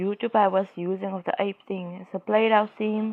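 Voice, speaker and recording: Speaking at a moderate pace, a woman with a South African accent keeps her intonation flat and monotone. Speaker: YouTuber. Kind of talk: casual commentary monologue. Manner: halting, many fillers.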